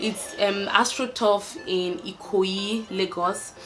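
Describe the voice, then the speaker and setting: A woman speaks with a Nigerian accent at a medium pitch. Her intonation is fairly even, and background noise is noticeable. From Nigeria, Ibadan. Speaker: YouTuber. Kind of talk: casual chat.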